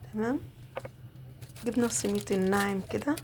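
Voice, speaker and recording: The woman's intonation is lively and her pitch is medium. She keeps a moderate pace. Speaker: home cook. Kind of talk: cooking tutorial. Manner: casual, chatty.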